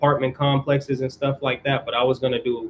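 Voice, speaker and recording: Somewhat breathy, the man's voice has a medium pitch. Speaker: YouTuber hosting a mental health livestream. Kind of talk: casual livestream chat answering viewers. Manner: fast; casual slangy delivery.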